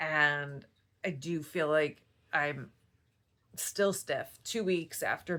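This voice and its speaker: A woman with a very deep, low pitch speaks very slowly in a bright, sharp tone with vocal fry and fairly even intonation. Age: 50s. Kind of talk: casual talk to camera.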